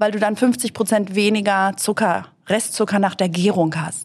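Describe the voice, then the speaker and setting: A woman with an ordinary speaking voice, fairly high in pitch, at a moderate pace. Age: 50s. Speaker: author and TV presenter. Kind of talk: casual interview.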